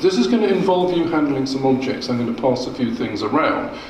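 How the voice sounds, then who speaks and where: A man is speaking with audible room echo. There is light background noise. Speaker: food historian lecturer. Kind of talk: lecture. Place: hall. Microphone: podium.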